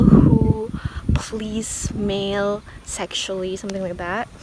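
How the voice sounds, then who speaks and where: A woman with an Indonesian accent speaks very slowly at a medium pitch in a monotone, flat intonation, with noticeable background noise. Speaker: singer and vlogger. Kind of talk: casual vlog. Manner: halting.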